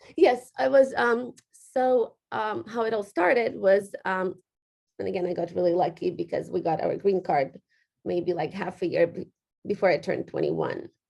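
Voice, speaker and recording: A woman with a Ukrainian accent at a moderate pace. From western Ukraine. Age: 30s. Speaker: real estate agent. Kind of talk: interview. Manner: halting.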